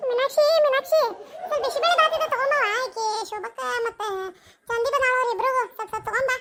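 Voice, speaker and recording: In a cartoonish character voice, a woman talks very fast at extremely high pitch with ordinary pitch variation. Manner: bossy but generous.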